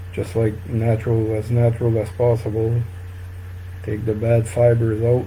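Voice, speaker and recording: A man's medium-pitched, monotone, flat delivery at a moderate pace, with audible room echo and noticeable background noise. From northern New Brunswick, Canada. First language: French. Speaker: fly tying instructor. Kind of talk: live-stream tutorial. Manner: halting, many fillers.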